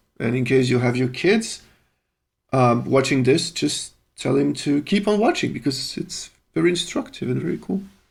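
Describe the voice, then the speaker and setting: With a French accent, a man talks at a moderate pace. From Belgium (French-speaking). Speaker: musician live-streaming composition. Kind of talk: live stream chat. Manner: casual, swearing, hesitant.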